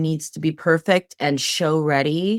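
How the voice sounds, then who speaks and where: In a very clean recording with a silent background, a woman talks at a fairly slow pace. She has a normal speaking voice with ordinary pitch variation. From California. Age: 40s. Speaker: dancer and associate choreographer. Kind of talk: interview.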